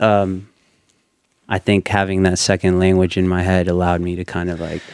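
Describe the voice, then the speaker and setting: Here a man talks at a moderate pace. His pitch is very deep and low, in a monotone, flat intonation. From Ecuador, raised in Indiana from age five. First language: Spanish. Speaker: videographer. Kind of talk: podcast interview. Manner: many filler words and hesitations.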